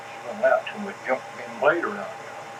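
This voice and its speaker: With noticeable background noise behind him, a man talks in an Appalachian accent. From Appalachia (West Virginia / Kentucky). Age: 70s. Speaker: interviewee recounting family history. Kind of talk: oral history interview. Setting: at home.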